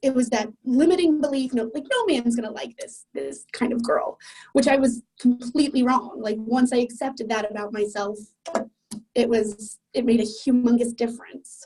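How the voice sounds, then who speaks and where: A woman with an American accent speaks at a moderate pace in a high voice with fairly even intonation, music playing in the background. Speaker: client sharing a success story. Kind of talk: interview testimony. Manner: loud; casual, filler-heavy.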